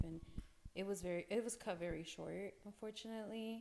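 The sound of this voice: A woman with a dark, mellow tone talks at a fairly quick pace. Her intonation is fairly even.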